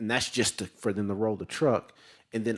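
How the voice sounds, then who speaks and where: Over a silent background in a very clean recording, a man with a Southern accent talks at a fairly quick pace in a fairly low pitch. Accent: Southern, less twang than Louisiana. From Tennessee, Chattanooga. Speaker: sales representative. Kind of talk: sales pitch. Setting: city council chamber. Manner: halting, many fillers and repetitions.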